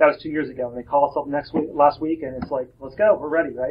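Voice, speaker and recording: Pitched fairly high, a man speaks with fairly even intonation. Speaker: software company cofounder giving keynote. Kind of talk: conference keynote talk. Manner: fast; hesitant, many fillers and repeats.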